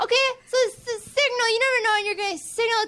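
Projecting loudly, a woman speaks very fast at an extremely high pitch. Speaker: comedian. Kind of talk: stand-up. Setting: stage with audience.

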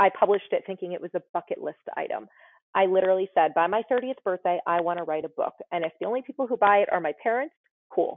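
A woman with an American accent talks at a fairly quick pace. She has a medium pitch and an ordinary speaking voice. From US tri-state area. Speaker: nurse anesthetist and author. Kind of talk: casual interview chat.

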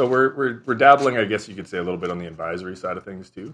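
With a Canadian Prairies accent, a man speaks using ordinary pitch variation. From southern Saskatchewan, Canada. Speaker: environmental and regulatory lawyer. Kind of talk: interview.

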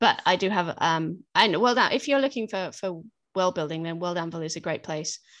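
Against a quiet background, a woman with a British accent speaks at a fairly low pitch and a moderate pace, her intonation lively. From Britain. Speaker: fiction author. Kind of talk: interview.

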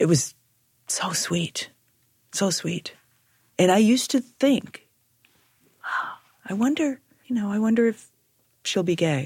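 A woman's somewhat breathy voice at a fairly slow pace, with very wide pitch swings and long, frequent pauses. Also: medium pitch for a woman. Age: 50s. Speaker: former store owner. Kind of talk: casual conversation.

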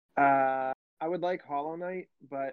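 Using a plain, everyday voice, a man speaks at a moderate pace with a medium pitch and fairly even intonation. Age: 30s. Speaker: podcast co-host. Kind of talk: casual chat.

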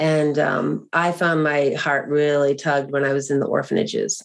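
A woman with an American accent talks at a very deep, low pitch and a fairly slow pace. Her intonation is monotone and flat. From US Northeast, greater Boston. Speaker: adoptive mother and author. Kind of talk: interview testimony.

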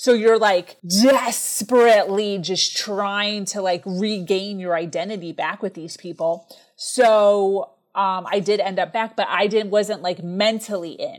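Moving at a fairly slow pace, a woman speaks with ordinary pitch variation. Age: 30s. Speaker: entrepreneur and speaker. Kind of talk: interview testimony. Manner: high energy.

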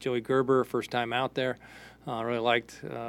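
The man's medium-pitched voice moves at a moderate pace. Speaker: baseball coach, post-game analyst. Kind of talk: post-game comments. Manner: casual, filler-heavy.

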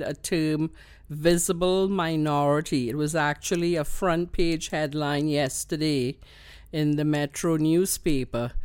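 Speaking with a Trinidadian accent, a woman talks at a fairly slow pace. Her intonation is fairly even, and the recording is very clean with a silent background. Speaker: queer elder, community activist. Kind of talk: interview. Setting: home studio. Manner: laughs often.

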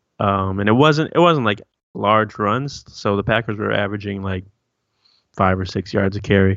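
An ordinary speaking voice moves along at a moderate pace. Its pitch varies in an ordinary way. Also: man. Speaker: Vikings podcast co-host. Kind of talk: casual sports banter. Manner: casual, relaxed, joking.

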